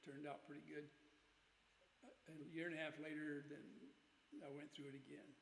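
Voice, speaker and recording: A man's fairly high voice carries vocal fry and a monotone, flat intonation. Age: 80s+. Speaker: COPD patient. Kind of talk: casual talk to camera.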